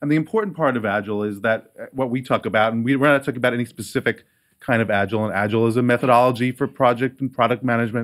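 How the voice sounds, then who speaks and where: At a very fast pace with hardly any pauses, a man speaks at a medium pitch with fairly even intonation, in a very clean recording with a silent background. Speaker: agile process director at a media company. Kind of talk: conference talk. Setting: stage with audience and microphone. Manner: loud talker, speaking softly here.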